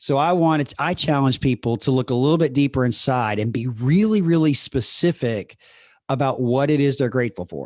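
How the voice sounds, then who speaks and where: A man with a Southern US accent talks at a fairly quick pace. The sound is dry and close, with no echo. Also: medium pitch for a man, ordinary pitch variation, quiet background. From US South. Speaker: podcast host and coach. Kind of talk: solo podcast monologue. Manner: conversational.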